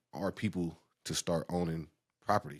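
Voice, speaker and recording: A man's voice, dry and close with no echo, on a very clean recording with a silent background. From Oakland, California (Bay Area). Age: 30s. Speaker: realtor. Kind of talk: podcast interview. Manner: casual, slangy.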